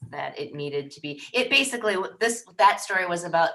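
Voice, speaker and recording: A loud woman with an American accent and a bright, sharp tone. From Wisconsin. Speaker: newspaper founder and former reporter. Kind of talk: casual interview. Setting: podcast.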